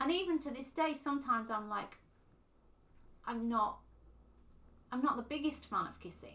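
A woman with a high pitch uses a raised, projected voice at a moderate pace, with ordinary pitch variation. Her loudness swings widely, and she leaves long, frequent pauses. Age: 30s. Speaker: podcast co-host. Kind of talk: casual chat. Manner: hesitant, many fillers.

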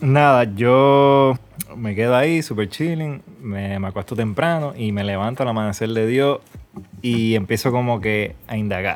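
A man with an unremarkable speaking voice talks at medium pitch. His pace is fairly slow and his pitch variation ordinary. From Puerto Rico. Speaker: filmmaker and traveler. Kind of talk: casual chat.

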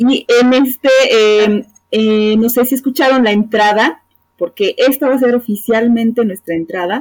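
An ordinary speaking voice comes at a fairly slow pace with ordinary pitch variation and very even loudness, in a dry, close sound with no echo. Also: woman, fairly high pitch for a woman. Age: 30s. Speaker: psychologist and podcast co-host. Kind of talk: casual chat.

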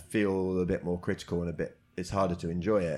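With a British accent, a man talks at a fairly quick pace. His pitch is very deep and low. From Britain. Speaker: comedian and comedy promoter. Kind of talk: casual interview chat. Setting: karaoke box.

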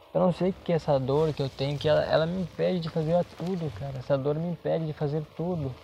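Speaking very fast, a man uses a fairly high pitch and fairly even intonation. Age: 20s. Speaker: podcaster. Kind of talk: casual monologue. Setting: at workplace.

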